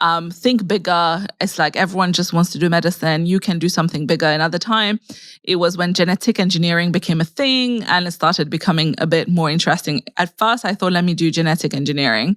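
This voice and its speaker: On a very clean recording with a silent background, a woman talks at a very fast pace with hardly any pauses, fairly low pitch, ordinary pitch variation and very even loudness. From Mauritius. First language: French. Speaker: scientist turned content creator. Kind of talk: interview conversation.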